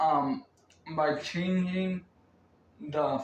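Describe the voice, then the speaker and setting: Very slow speech over noticeable background noise. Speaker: crypto YouTuber. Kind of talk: video commentary. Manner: hesitant, many fillers.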